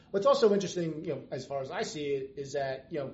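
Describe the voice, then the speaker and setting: A man talks at a very fast pace with ordinary pitch variation. Noticeable background noise runs behind him. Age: 50s. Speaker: financial planner. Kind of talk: casual interview. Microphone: background noise, laptop without noise canceling mic.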